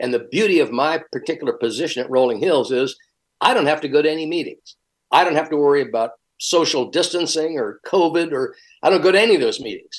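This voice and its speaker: Pitched fairly high with ordinary pitch variation, a man speaks at a very fast pace. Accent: American. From US, lived long in Virginia. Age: 70s. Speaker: retired pastor. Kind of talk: interview.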